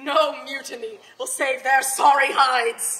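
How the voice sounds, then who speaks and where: A woman's raised, projected voice with a bright, sharp tone. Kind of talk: dramatic reading of own piece. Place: hall. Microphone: camera far.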